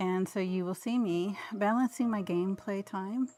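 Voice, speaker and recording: With ordinary pitch variation, the clip presents an ordinary speaking voice. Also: woman. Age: 50s. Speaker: cozy gaming streamer. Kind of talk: live game stream with reading of in-game dialogue. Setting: home, live stream.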